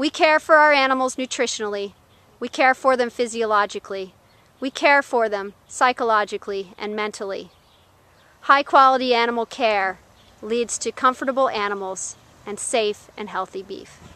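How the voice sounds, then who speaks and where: In a bright, sharp tone, a woman speaks with an American accent at a fairly high pitch. Her pace is moderate, and the sound is dry and close with no echo. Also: ordinary pitch variation. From Florida. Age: 30s. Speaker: cattle farmer. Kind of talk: scripted narration.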